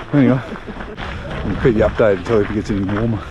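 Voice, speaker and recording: Very fast male speech amid audible room echo and noticeable background noise. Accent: Australian. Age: 60s. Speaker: travel vlogger. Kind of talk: casual vlog talk to camera. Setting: outdoors.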